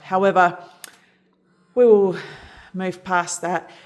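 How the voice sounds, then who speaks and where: The speaker, a woman, has an Australian accent. She talks at a fairly slow pace. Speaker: product reviewer. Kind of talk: tutorial.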